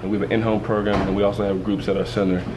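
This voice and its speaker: A man with an American accent and a fairly low voice is heard amid noticeable background noise and audible room echo. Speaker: family support center director and anger management coach. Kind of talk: interview. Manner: halting.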